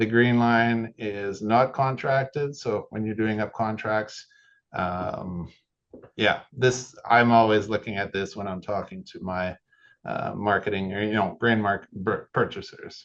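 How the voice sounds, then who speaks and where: With a normal speaking voice, a man talks at a fairly slow pace and with fairly even intonation over a quiet background. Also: fairly low pitch for a man. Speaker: software product specialist. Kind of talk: tutorial.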